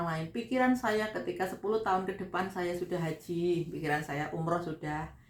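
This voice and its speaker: Over noticeable background noise, a woman with a fairly low voice talks at a fairly quick pace. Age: 40s. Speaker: vlogger, migrant domestic worker. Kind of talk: casual vlog talk. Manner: conversational.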